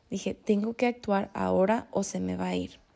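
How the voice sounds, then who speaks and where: A woman's voice is heard. The recording is very clean, with the background silent. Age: 20s. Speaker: manifestation coach and podcast host. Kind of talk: solo motivational podcast monologue.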